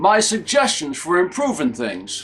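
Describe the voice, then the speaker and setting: Speaking at a moderate pace and a high pitch, a man makes very wide pitch swings over noticeable background noise. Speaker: humorist. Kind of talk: promotional pitch to camera.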